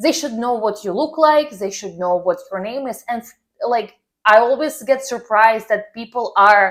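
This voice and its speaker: A woman's fairly high voice with a non-native accent, at a moderate pace, on a very clean recording with a silent background. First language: not English. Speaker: personal branding coach. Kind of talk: tutorial. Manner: casual, filler-heavy.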